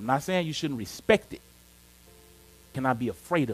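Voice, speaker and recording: Using lively intonation and an animated tone, a man with a fairly high pitch talks at a moderate pace. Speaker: pastor. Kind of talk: sermon.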